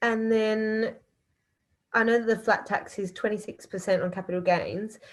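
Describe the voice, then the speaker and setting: With an Australian accent, a woman speaks at a fairly high pitch in a monotone, flat intonation. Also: moderate pace. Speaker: audience member. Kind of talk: Q&A question. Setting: video call from bedroom.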